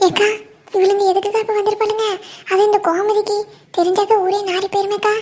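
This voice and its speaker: This cartoonish character voice moves at a moderate pace with monotone, flat intonation. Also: woman, extremely high pitch for a woman. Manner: wheedling, insinuating.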